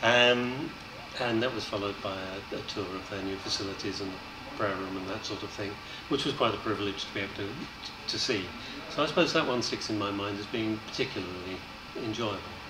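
With noticeable background noise, a man talks at a fairly quick pace and ordinary pitch variation. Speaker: election candidate. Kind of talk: interview answer. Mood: pleasant, reflective.

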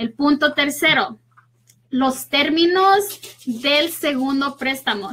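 Her voice is high-pitched with a bright, sharp tone, and this woman uses ordinary pitch variation.

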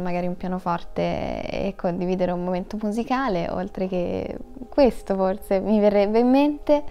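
A woman is speaking. Her pace is moderate. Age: 20s. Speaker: actress; actress interviewee. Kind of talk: interview; interview answer. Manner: halting. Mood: relaxed, thoughtful. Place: studio.

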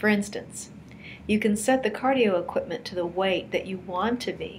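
A woman talks at a moderate pace with ordinary pitch variation over light background noise. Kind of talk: tutorial. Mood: warm, encouraging. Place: home room. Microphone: webcam.

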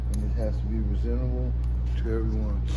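Heavy noise fills the background. Through it, a man talks. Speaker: homeless man. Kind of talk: interview answer. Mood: weary, emotional, earnest. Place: street. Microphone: phone near.

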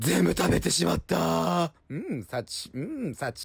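A man speaks in a playful tone over noticeable background noise. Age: 30s. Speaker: apparel store staff. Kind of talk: comedic voice-over commentary. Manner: playful, jokey.

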